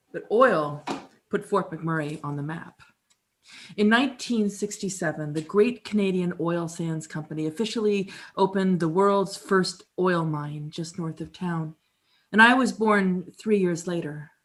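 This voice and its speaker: A woman's plain, everyday voice at medium pitch and fairly slow pace, with ordinary pitch variation and big swings in loudness, on a very clean recording with a silent background. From Canada (Alberta). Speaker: musician and performer. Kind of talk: dramatic reading, storytelling monologue. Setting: live performance in an apartment.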